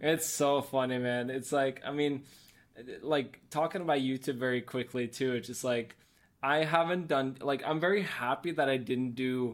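Speaking at a moderate pace in a Norwegian accent, a man with a medium-pitched voice keeps his intonation fairly even over a very clean recording with a silent background. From Norway. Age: 30s. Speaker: photographer. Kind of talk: casual interview chat.

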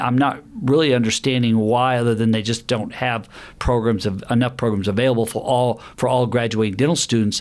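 Speaking at a moderate pace, a man with a Southern US accent uses a medium-pitched voice. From US South, Alabama. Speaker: dentist. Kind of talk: interview. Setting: dental office.

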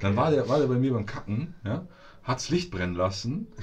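A somewhat breathy man's voice with very wide pitch swings, at a moderate pace. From Munich, Bavaria. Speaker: podcast co-host. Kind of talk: casual chat. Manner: animated.

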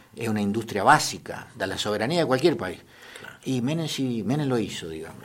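A man talks at a medium pitch and a fairly quick pace, with lively intonation. His loudness swings widely, and the room echo is audible. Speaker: historian and history teacher. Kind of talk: radio interview.

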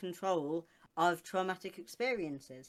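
This is a woman speaking. Her pitch sits fairly low. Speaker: co-host. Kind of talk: casual chat. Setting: video call, live stream.

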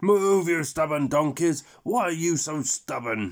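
A man shouts in a put-on character voice, fairly high-pitched, with lively intonation at a fairly slow pace. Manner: scary, yelling.

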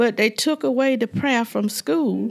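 At a fairly slow pace, a woman talks with a Southern US accent in a very clean recording with a silent background. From US South, Georgia. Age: 70s. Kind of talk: casual chat, interview.

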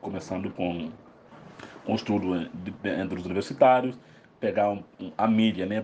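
In a fairly low pitch, a man speaks at a moderate pace with fairly even intonation. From Guinea-Bissau. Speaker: psychologist and researcher. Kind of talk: recorded interview answer. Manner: halting, repetitive.

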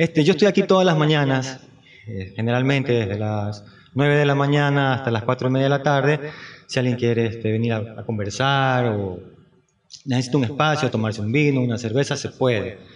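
A man talks at a fairly quick pace in a medium pitch. It's an unremarkable speaking voice with ordinary pitch variation. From Ecuador, Guayaquil. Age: 50s. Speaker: painter. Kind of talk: interview.

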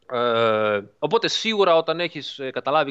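A man is speaking. His intonation is lively. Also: dry, close sound with no echo. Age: 40s. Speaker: driving simulator developer. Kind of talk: interview. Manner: halting.

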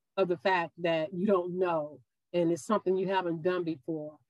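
A woman speaks with a Mississippi accent. Her pitch sits fairly low. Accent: Southern US (Mississippi). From US South, Meridian, Mississippi. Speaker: yoga instructor and college professor. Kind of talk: casual interview.

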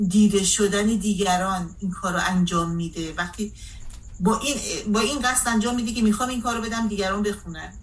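With ordinary pitch variation, a woman speaks in a medium pitch at a fairly quick pace. Room echo is audible, along with noticeable background noise. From Iran, Caspian coast. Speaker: translator and civil activist. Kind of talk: radio interview.

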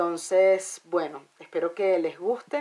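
A woman with a Venezuelan accent speaks fairly slowly at a medium pitch. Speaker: podcast host and musician. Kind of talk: spoken intro; casual chat.

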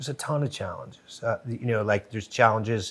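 A man speaks at medium pitch in an ordinary speaking voice, his intonation fairly even. The recording is very clean, with a silent background. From Connecticut, New Haven. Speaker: TV show co-creator and producer. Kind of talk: casual interview chat. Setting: studio.

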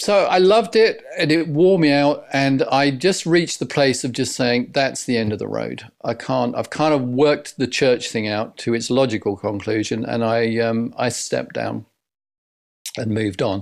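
With a southern English accent, a man talks at a medium pitch with lively intonation. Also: moderate pace. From Essex, England. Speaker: leadership coach. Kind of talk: interview.

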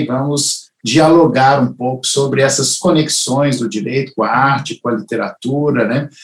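A man's somewhat breathy, fairly high voice moves at a moderate pace. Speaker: family lawyer and show host. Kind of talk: interview conversation. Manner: halting.

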